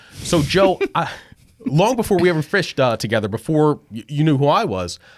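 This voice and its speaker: Talking fairly quickly, a man with a fairly high voice lets his pitch swing very widely. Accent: Philadelphia. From southern New Jersey. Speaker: podcast host. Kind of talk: casual interview chat. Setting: guest's podcast studio.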